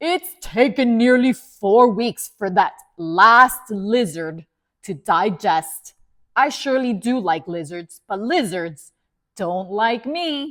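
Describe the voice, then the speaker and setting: Very slow and rumbling, a woman's put-on character voice sits fairly high in pitch and swings very widely. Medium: read story. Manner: grumbling.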